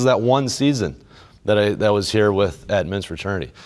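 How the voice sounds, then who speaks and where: With lively intonation, a man speaks at a very fast pace. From central Illinois. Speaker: men's group leader and speaker. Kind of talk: inspirational faith talk.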